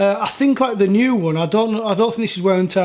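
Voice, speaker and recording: A man speaks with a Yorkshire accent at a fairly quick pace, his pitch rising and falling in an ordinary way. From Yorkshire, northern England. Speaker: sneaker reviewer. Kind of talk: product review. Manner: casual, hesitant with fillers.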